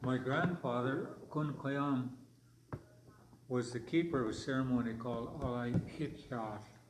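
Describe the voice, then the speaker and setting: Long, frequent pauses break up the fairly slow speech, which has fairly even intonation. Noticeable background noise and audible room echo are present. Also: man, medium pitch for a man. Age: 70s. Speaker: elder historian and storyteller. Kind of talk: language class storytelling. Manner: halting.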